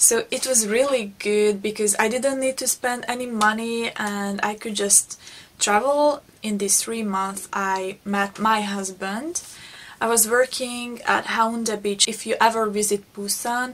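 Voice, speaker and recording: A woman with a Hungarian accent, fairly high pitch, fairly even intonation and a fairly slow pace. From Hungary. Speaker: beauty vlogger. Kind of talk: personal storytelling vlog. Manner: halting, with repetitions.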